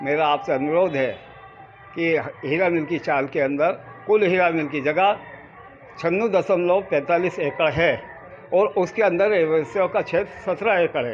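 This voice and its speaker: Music plays in the background. A man talks at a fairly high pitch with ordinary pitch variation. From India, Ujjain. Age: 70s. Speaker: residents' association leader. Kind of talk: news interview statement.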